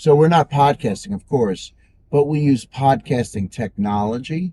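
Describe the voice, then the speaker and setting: A man with a dark, mellow tone and a somewhat breathy quality talks at a moderate pace with lively intonation. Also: fairly high pitch for a man. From Long Island, New York. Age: 60s. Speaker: radio executive and DJ. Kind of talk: casual interview.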